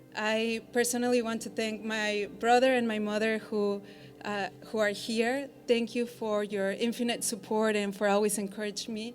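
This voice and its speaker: Over music in the background and audible room echo, a woman with a Mexican accent speaks at a fairly high pitch in a monotone, flat intonation. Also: moderate pace. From Mexico. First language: Spanish. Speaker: law school graduate. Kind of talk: commencement speech. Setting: theater stage with audience.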